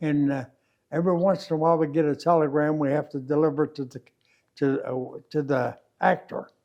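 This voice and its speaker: Speaking at a moderate pace, a man with a Midwestern American accent has a fairly high pitch and ordinary pitch variation. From Kansas City, Missouri. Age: 80s+. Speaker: war veteran. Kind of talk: interview answer.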